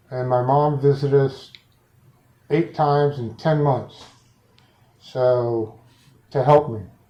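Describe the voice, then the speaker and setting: A mumbling man's fairly high voice, dark and mellow, with fairly even intonation, a very slow pace and long, frequent pauses. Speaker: client in intake interview. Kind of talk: intake interview. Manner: mumbling, slurred words.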